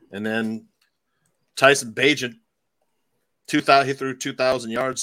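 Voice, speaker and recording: A man's bright, sharp voice with an American accent and fairly even intonation, on a very clean recording with a silent background. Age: 50s. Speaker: fantasy football radio host. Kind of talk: casual chat.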